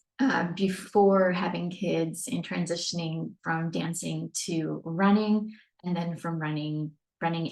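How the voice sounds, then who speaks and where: A woman's unremarkable speaking voice at a fairly slow pace, with fairly even intonation. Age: 40s. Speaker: fitness coach. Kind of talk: webinar presentation. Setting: screen-share webinar recording.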